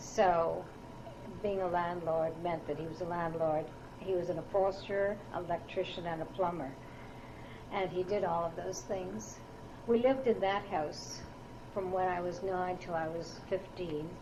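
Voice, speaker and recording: A woman's fairly low voice with a Canadian accent and ordinary pitch variation, fairly slow, with long, frequent pauses, noticeable background noise and audible room echo. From Ottawa, Canada. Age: 60s. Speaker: oral history interviewee. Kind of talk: oral history interview. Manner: hesitant, with fillers.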